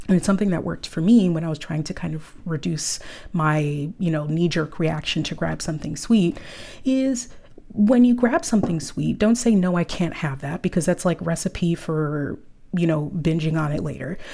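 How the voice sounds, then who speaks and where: A woman speaks with an American accent, fairly low for her range. Her tone is dark and mellow and somewhat breathy. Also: lively intonation, moderate pace. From New York City, Harlem. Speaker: nutrition coach. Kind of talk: casual talk to camera. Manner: animated.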